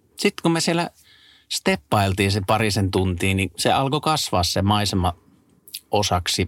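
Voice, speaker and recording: A man's fairly low, fairly slow voice with lively intonation, very even loudness and long, frequent pauses, dry and close with no echo, on a very clean recording with a silent background. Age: 30s. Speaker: travel podcast co-host. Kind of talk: casual chat.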